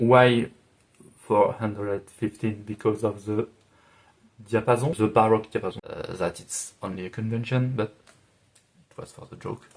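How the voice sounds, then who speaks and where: Moderate pace, fairly even intonation and big swings in loudness, with long, frequent pauses, in a French accent. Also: man, medium pitch for a man. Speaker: music arranger and video creator. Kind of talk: FAQ video monologue. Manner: halting, many fillers.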